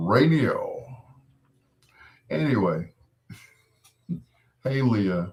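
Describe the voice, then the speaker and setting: A man speaks at a medium pitch with very wide pitch swings. His voice is somewhat breathy. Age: 60s. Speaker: radio host. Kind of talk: late-night radio show with live chat. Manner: casual, conversational.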